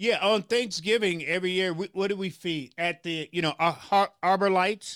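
A man with an American accent speaks at a high pitch, with fairly even intonation and hardly any pauses. The recording is very clean, dry and close, with a silent background and no echo. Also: moderate pace. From US South, Memphis, Tennessee. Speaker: pastor and community activist. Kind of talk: interview.

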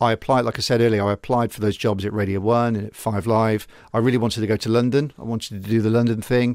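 Speaking very fast with hardly any pauses, a man with a West Country accent keeps his medium pitch monotone and flat in a very clean recording with a silent background. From England, Gloucester. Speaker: TV news reporter. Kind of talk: casual interview. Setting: radio studio.

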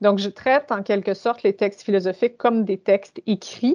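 The sound is dry and close with no echo, over a quiet background. A normal speaking voice talks at a moderate pace. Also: woman. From Ontario, Canada. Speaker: university administrator. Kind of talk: interview. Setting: video call.

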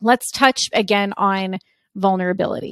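This woman talks in an animated tone at a medium pitch with ordinary pitch variation. The very clean recording has a silent background and a dry, close sound with no echo. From US East Coast, Italian-American. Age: 30s. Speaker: podcast host and MS advocate. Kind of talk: solo podcast monologue.

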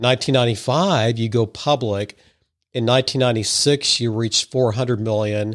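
A man's medium-pitched, unremarkable speaking voice with an American accent, fairly even intonation and a fairly quick pace, on a very clean recording with a silent background. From Missouri (Madison). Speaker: podcast host. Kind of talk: interview.

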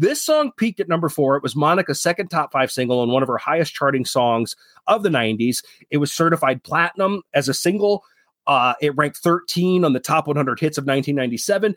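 A man talks very fast at a fairly high pitch, his intonation lively and his loudness very even. The recording is very clean with a silent background, and the sound is dry and close with no echo. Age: 40s. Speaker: podcast host. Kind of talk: casual chat; reading aloud.

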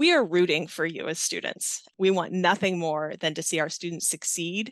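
Someone with a plain, everyday voice speaks at a moderate pace. The background is quiet. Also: woman. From US, Navy family, moved often. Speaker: nursing professor, Navy veteran. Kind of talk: interview.

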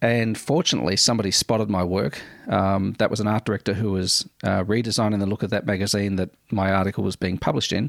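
Speaking at a very fast pace in an Australian accent, a man keeps his loudness very even and his intonation fairly even. The sound is dry and close, with no echo. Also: fairly low pitch for a man. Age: 40s. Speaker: podcast host. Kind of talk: casual monologue. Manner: hesitant with many fillers.

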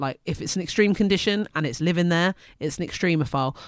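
In an English accent, a woman talks at a very fast pace with a very deep, low pitch and ordinary pitch variation, on a very clean recording with a silent background. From UK. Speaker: science teacher. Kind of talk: casual educational chat. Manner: loud; laughs often.

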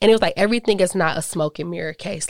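Dry and close with no echo, the sound comes from a very clean recording over a silent background. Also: woman. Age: 20s. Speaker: podcast host. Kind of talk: casual solo talk. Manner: animated.

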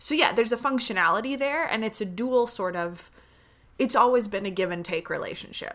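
A woman speaks with an American accent at a fairly quick pace. Hers is an unremarkable speaking voice with ordinary pitch variation. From Northern Illinois. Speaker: podcast co-host. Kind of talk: casual conversational podcast chat.

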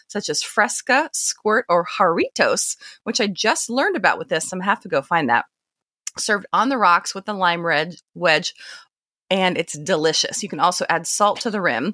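In a very clean recording with a silent background and a dry, close sound with no echo, a woman at medium pitch speaks at a moderate pace with lively intonation and a bright, sharp tone. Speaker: podcast host. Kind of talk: casual interview.

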